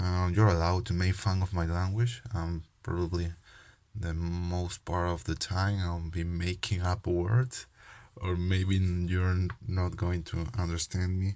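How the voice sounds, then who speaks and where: Delivery is monotone and flat, at a fairly slow pace. The recording is very clean, with a silent background. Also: man, very deep, low pitch for a man. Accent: non-native. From Peru. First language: Spanish. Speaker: trading card game youtuber. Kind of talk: casual vlog talk. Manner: halting, many fillers.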